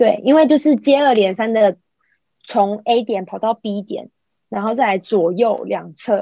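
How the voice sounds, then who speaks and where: This woman's pitch varies in an ordinary way as she talks fairly slowly. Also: fairly high pitch for a woman. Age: 40s. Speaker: podcast co-host. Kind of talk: casual chat. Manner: animated.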